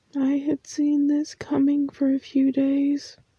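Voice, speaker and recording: Very slow and soft-spoken, a woman with a high pitch and a dark, mellow tone speaks in a monotone, flat intonation, the sound dry and close with no echo. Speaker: ASMR creator. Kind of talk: soft spoken comfort talk.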